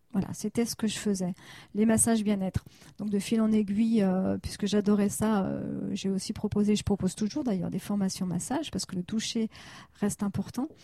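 A woman's somewhat breathy, dark, mellow voice at a fairly quick pace, with fairly even intonation and a dry, close sound with no echo. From France, Annecy (Haute-Savoie). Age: 40s. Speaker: therapist. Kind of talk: interview.

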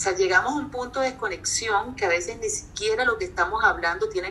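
A woman's fairly high voice, very fast, with very wide pitch swings and noticeable background noise. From Colombia, Barranquilla. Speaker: psychologist and life coach. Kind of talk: casual interview.

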